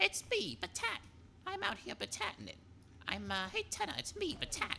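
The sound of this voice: Someone puts on a character voice in a playful tone. Background noise is clearly heard. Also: moderate pace.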